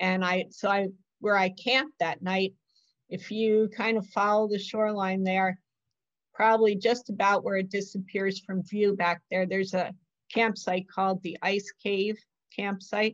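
A woman's monotone, flat intonation against a quiet background. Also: moderate pace. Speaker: author and solo canoe adventurer. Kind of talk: illustrated author talk. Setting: video call. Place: home room. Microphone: video call.

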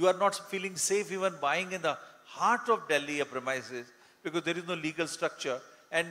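At a fairly quick pace, a man speaks in a high pitch. His pitch varies in an ordinary way. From India. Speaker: real estate solicitor; panelist. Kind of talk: panel discussion. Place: stage.

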